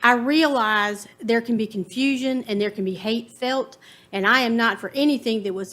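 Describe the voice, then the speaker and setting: Spoken with a Virginia accent and ordinary pitch variation, this is a very clean recording with a silent background. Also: woman. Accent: Southern US (Virginia). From US South, Farmville, Virginia. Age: 50s. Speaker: resident giving public comment. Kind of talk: public comment at county board meeting.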